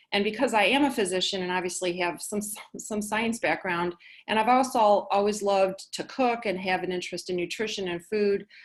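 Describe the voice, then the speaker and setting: A woman with an unremarkable speaking voice talks at medium pitch and a fairly quick pace. Her pitch variation is ordinary, and the background is quiet. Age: 60s. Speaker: physician and patient speaker. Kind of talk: webinar presentation. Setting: online webinar.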